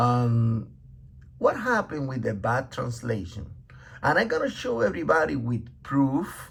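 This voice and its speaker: A man speaks with a non-native accent. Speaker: religious teacher. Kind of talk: bible teaching. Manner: halting, many fillers.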